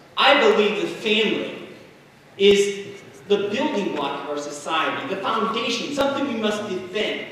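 Heard through strong room echo and light background noise, a man with an American accent and a high pitch speaks at a moderate pace. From Indiana. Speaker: political candidate, firefighter. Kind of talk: campaign speech. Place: hall.

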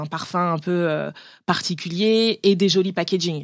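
A woman's fairly low voice at a fairly slow pace, with ordinary pitch variation, in a very clean recording with a silent background. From France. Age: 30s. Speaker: cosmetics brand founder. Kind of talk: interview. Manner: hesitant, many fillers.

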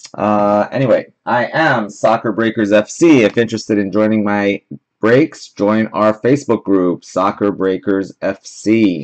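A man's plain, everyday voice at a fairly low pitch and fairly slow pace, with ordinary pitch variation and a quiet background. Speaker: card break host. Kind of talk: live stream host chat. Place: home room. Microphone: webcam.

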